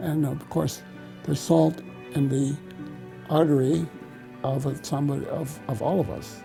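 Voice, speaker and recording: Music plays behind a man's fairly high voice. He speaks at a fairly slow pace. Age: 80s+. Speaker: lipid researcher, professor emeritus. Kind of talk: interview answer.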